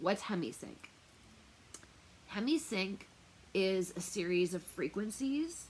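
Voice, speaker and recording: Loud and very slow, a woman speaks in a medium pitch with very wide pitch swings and long, frequent pauses. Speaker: tarot reader and remote viewer. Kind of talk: casual talk to camera. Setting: wearing noise-canceling earphones. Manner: hesitant, many fillers.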